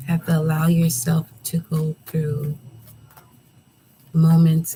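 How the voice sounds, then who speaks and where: The voice is soft-spoken. The pace is very slow. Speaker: tarot reader. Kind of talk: tarot reading. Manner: relaxed.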